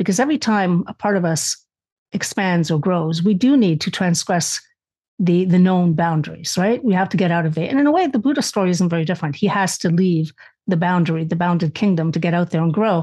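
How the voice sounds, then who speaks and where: A somewhat breathy voice with a dark, mellow tone moves at a fairly quick pace with ordinary pitch variation. Loudness stays very even against a quiet background. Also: woman, fairly low pitch for a woman. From Canada, born in Spain. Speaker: author and lecturer. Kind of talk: casual chat.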